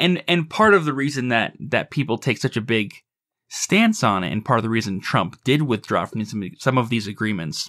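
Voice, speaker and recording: Over a quiet background, a man mumbles in a put-on character voice at a moderate pace and medium pitch. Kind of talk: casual discussion. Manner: mumbling, stumbling.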